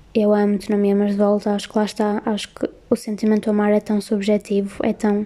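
Her tone dark and mellow, a woman speaks at a fairly quick pace with monotone, flat intonation. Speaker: podcast host. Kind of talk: casual chat. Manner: soothing.

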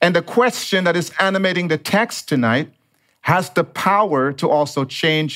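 A man with a fairly high pitch, at a fairly slow pace, on a very clean recording with a silent background. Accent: slight Dominican. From Dominica. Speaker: pastor. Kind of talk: sermon.

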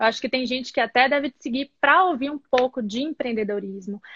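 Her pace is fairly quick and her pitch high, with ordinary pitch variation. The speaker is a woman. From Bahia, Brazil. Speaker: entrepreneur, live interview host. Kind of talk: casual live-stream interview. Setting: video call live stream.

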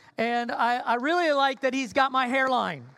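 A woman talks at a high pitch while noticeable background noise fills the recording. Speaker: pastor. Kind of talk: sermon. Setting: church. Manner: informal, hesitant with fillers.

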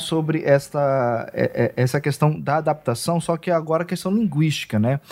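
This man has an ordinary speaking voice with a fairly high pitch. He talks at a moderate pace. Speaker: podcast interviewer. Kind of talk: interview.

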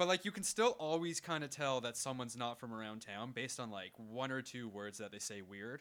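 Using an unremarkable speaking voice, a man with a Canadian accent talks at a fairly quick pace with hardly any pauses, a medium pitch and lively intonation. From Canada. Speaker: podcast co-host. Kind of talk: casual comedic banter.

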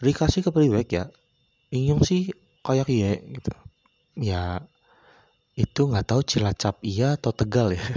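Very wide pitch swings at a fairly slow pace, broken by long, frequent pauses. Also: man. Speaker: podcast host. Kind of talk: casual solo monologue. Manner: rambling, frequent fillers.

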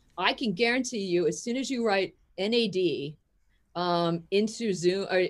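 A woman speaks in an animated tone at a medium pitch. Her pitch varies an ordinary amount. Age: 50s. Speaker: physician and cell biologist. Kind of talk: interview.

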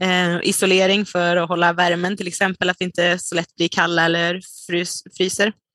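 Her tone is bright and sharp, and this woman talks at a medium pitch. The sound is dry and close with no echo, over a quiet background. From Sweden, Dalarna. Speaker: dietitian and nutrition researcher. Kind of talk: interview. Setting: remote call.

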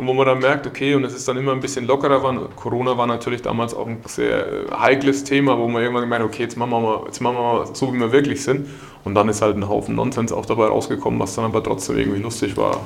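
Against music in the background and audible room echo, a man talks very fast at medium pitch in a monotone, flat intonation. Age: 30s. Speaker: company managing director. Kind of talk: podcast interview.

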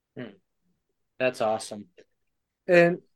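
A man talks in a plain, everyday voice. His intonation is lively and his pace fairly quick. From Michigan. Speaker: podcast co-host. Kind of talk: casual interview.

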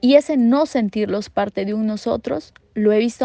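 A woman's medium-pitched voice, dark and mellow in tone, with a dry, close sound, no echo and a quiet background. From Peru. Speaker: development worker. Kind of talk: prepared recorded statement.

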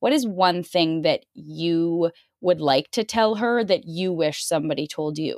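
Fairly low in pitch and with ordinary pitch variation, a woman with a Canadian accent speaks at a fairly slow pace in an ordinary speaking voice on a very clean recording with a silent background. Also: dry, close sound with no echo. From Canada. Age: 20s. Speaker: podcast host. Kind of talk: interview.

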